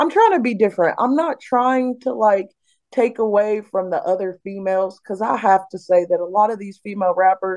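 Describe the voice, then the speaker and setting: A woman with an American accent and an ordinary speaking voice, medium in pitch with ordinary pitch variation, at a fairly quick pace. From US, West Virginia (Beckley). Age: 30s. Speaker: recording artist. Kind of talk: casual interview.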